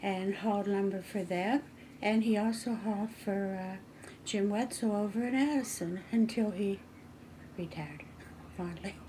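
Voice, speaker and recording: A woman speaks at a fairly slow pace with an American accent, her medium-pitched voice dark, mellow and somewhat breathy. Her pitch varies in an ordinary way. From western Maryland, small mining town. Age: 80s+. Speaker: local resident sharing town history. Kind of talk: oral history interview. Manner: conversational, slightly halting.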